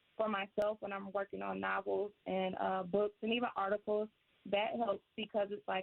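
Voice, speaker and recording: A woman at a moderate pace, medium in pitch, with monotone, flat intonation. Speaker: children's author. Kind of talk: radio interview. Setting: radio studio.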